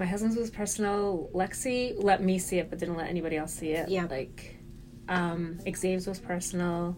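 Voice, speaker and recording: Speaking at a moderate pace, a woman with an unremarkable speaking voice keeps a medium pitch and fairly even intonation. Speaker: podcast co-host. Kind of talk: casual chat. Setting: office.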